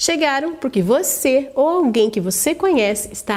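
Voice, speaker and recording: A woman speaks at a fairly slow pace with lively intonation over noticeable background noise. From Brazil, interior of São Paulo state. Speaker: online course instructor. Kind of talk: sales pitch.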